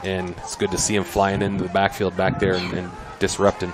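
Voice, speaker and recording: A man mumbles quietly at a fairly quick pace, his pitch fairly low, with noticeable background noise. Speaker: high school football commentator. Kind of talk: live commentary. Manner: mumbling.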